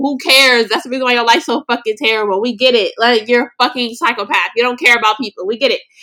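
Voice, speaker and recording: A woman's high-pitched, raised and projected voice, animated in tone and bright and sharp. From US West Coast, Los Angeles. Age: 20s. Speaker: podcast host. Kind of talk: casual solo monologue.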